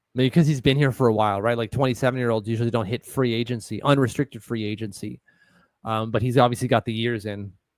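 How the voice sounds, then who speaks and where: A man with a Quebec accent at a medium pitch, talking at a very fast pace with fairly even intonation, in a dry, close sound with no echo. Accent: French-Canadian accent in English. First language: French. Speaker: sports podcast co-host. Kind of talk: casual live-stream chat.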